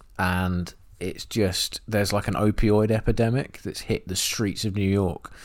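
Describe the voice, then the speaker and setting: A man with an English accent, fairly low pitch, monotone, flat intonation and a fairly slow pace, on a very clean recording with a silent background. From England. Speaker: film podcast co-host. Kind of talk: casual chat.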